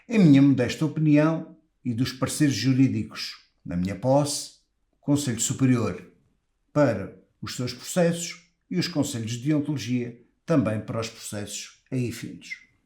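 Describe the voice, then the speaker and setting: With a European Portuguese accent, a man speaks fairly slowly in a dark, mellow tone at medium pitch, with ordinary pitch variation and big swings in loudness. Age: 60s. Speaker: lawyer running for professional body office. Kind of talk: campaign speech. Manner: formal.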